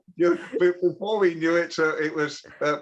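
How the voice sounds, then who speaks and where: A man's voice sits at a high pitch, and noticeable background noise accompanies it. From Britain. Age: 70s. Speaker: TV broadcaster and royal commentator. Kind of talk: interview. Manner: halting, frequent repeats and fillers.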